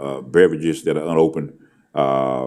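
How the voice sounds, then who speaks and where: With a dark, mellow tone, a man speaks with vocal fry. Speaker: school superintendent. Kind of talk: board meeting presentation. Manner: fast; halting, many fillers.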